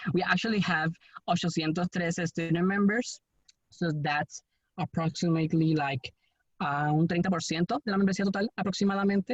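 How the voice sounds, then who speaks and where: Someone speaks at a fairly quick pace with a Spanish accent. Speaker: student member representative. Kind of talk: virtual town hall discussion. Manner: halting.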